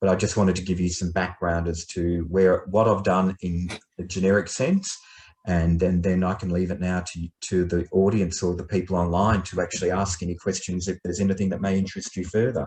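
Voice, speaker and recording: A man with a very deep, low pitch sounds somewhat breathy, his intonation monotone and flat. He talks at a fairly quick pace against a quiet background. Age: 50s. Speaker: retired businessman and blind tennis player. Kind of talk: informal talk to an online group.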